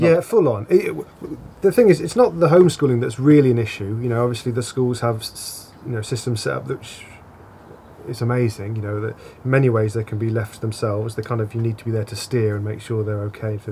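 A man talks at a very fast pace with ordinary pitch variation. His loudness swings widely over light background noise. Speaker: interviewee. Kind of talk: interview answer. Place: bar.

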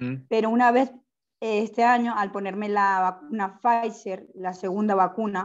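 A woman at a fairly slow pace, fairly even intonation, quiet background. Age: 30s. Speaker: arthritis patient. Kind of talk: audience question. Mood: earnest, somewhat worried. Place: home room. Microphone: earbuds.

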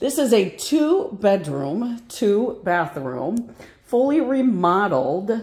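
A woman with very wide pitch swings over a quiet background. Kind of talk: property tour narration. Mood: upbeat sales enthusiasm. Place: home room. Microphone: phone near.

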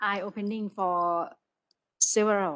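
Speaking at a very slow pace with fairly even intonation, a woman's medium-pitched voice comes through against a quiet background. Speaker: university lecturer. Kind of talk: discussion remarks after lecture. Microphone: video call.

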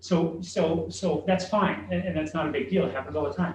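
With vocal fry and lively intonation, a man speaks at a moderate pace in a fairly high pitch. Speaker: school facilities consultant. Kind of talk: board work session discussion. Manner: halting, many repeated words.

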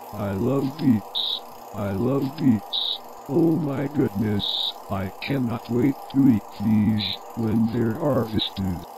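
A put-on character voice at a very slow pace, with clear background noise. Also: man, medium pitch for a man. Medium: machinima. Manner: gleeful, excitable.

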